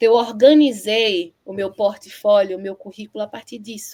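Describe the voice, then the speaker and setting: A woman speaks in a normal speaking voice at a fairly high pitch. Her pace is fairly slow. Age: 30s. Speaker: poet. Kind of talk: interview.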